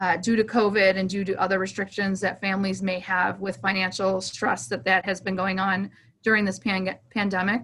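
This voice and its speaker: The speech flows with hardly any pauses. The intonation stays fairly even. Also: woman, medium pitch for a woman. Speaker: veteran nonprofit program director. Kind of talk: presentation briefing. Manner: fast; hesitant with many ums.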